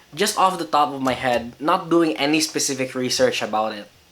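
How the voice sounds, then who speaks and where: A man with a fairly high pitch and lively intonation talks while noticeable background noise is heard. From Philippines. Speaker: vlogger. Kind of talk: casual vlog talk. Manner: hesitant, many fillers.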